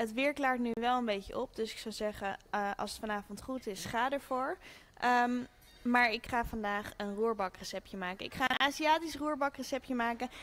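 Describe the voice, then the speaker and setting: With music playing in the background, a woman speaks at a moderate pace in a high pitch with ordinary pitch variation. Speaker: cooking show host. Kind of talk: cooking tutorial. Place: kitchen.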